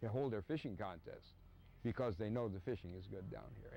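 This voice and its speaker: The man's voice is fairly low, with a dark, mellow tone and ordinary pitch variation. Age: 70s. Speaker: fishing charter captain. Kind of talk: interview. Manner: halting.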